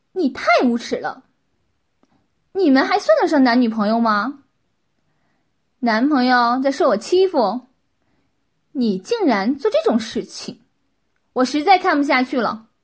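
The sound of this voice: A woman puts on a character voice with a high pitch, big pitch swings and a slightly husky edge. She goes at a fairly slow pace with long, frequent pauses.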